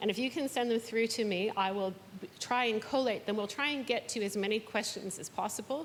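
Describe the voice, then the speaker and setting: She has an unremarkable speaking voice, fairly high in pitch with ordinary pitch variation. This woman moves at a fairly quick pace. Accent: Canadian. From Canada. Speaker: event moderator. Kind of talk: panel moderation. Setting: stage with audience.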